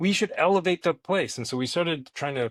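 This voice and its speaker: The speaker has a New York accent and talks at a fairly quick pace with ordinary pitch variation, in a dry, close sound with no echo on a very clean recording with a silent background. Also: man. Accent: New York American. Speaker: internet entrepreneur. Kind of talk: casual interview chat. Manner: animated.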